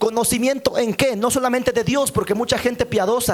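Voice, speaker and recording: Noticeable background noise accompanies a man as he speaks. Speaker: pastor. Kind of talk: sermon. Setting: church. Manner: fast.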